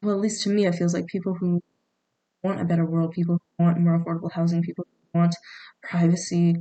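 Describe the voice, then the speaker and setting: Speaking at a very fast pace, a woman with a fairly low pitch and a dark, mellow tone keeps a monotone, flat intonation, the sound dry and close with no echo. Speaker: vlogger. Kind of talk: casual monologue. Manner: halting, many fillers and restarts.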